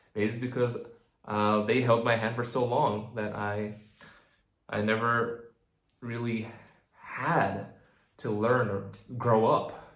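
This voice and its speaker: A man speaks at medium pitch in a monotone, flat intonation, with audible room echo. His pace is very slow, with long, frequent pauses. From New Zealand. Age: 20s. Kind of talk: personal vlog monologue. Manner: halting.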